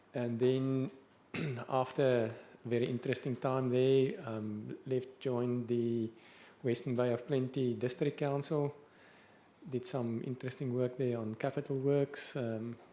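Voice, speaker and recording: A man talks fairly slowly at medium pitch, with a dark, mellow tone. His intonation is monotone and flat. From South Africa. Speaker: council engineer. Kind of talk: self-introduction.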